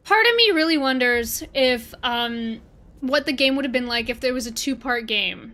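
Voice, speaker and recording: Raising and projecting her high-pitched voice, a woman with a Canadian accent sounds bright, sharp and animated, moving at a moderate pace with ordinary pitch variation. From Canada. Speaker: gaming streamer. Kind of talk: casual livestream chat. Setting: livestream.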